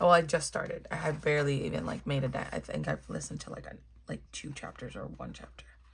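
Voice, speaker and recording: Soft-spoken, the speaker keeps a moderate pace. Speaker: coloring video creator. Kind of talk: casual chat.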